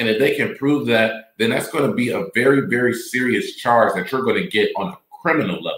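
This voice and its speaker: A man speaks with an ordinary speaking voice at a medium pitch. His intonation is lively, and there are hardly any pauses. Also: fairly quick pace. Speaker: podcast host. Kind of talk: live commentary podcast, reading articles and reacting to clips. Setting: live stream.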